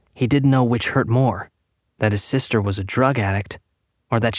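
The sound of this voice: With a quiet background behind it, the unforced reading voice has ordinary pitch variation.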